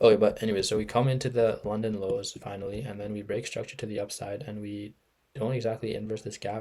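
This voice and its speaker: Somewhat breathy and flat, a man's monotone voice moves at a fairly quick pace with a fairly low pitch. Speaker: amateur forex trader. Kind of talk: trading recap screen share. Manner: casual, hesitant with many fillers.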